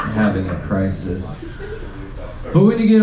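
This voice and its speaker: The room gives back an audible echo, and noticeable noise sits underneath. The speaker is a man. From Mexican-American, US. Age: 30s. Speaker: comedian. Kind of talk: stand-up. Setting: stage with audience. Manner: animated.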